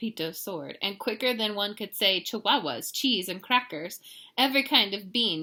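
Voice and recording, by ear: A natural-voiced reading aloud, lively in its intonation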